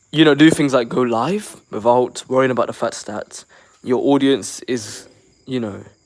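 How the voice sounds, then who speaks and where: Here a man speaks at a medium pitch with an American accent. His pace is moderate and his pitch varies in an ordinary way. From London, England. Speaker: YouTube reaction creator. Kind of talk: casual livestream chat. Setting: livestream via the Shorts tab. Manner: halting, with repeated words.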